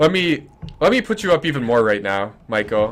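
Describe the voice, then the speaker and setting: A man with lively intonation, a medium pitch and a fairly quick pace. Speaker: esports caster. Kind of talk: live commentary. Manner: loud.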